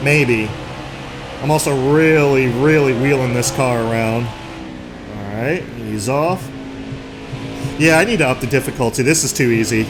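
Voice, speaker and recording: With music playing behind him and audible room echo, a man speaks fairly slowly, leaving long, frequent pauses. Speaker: gaming YouTuber. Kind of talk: gameplay commentary. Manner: loud; animated.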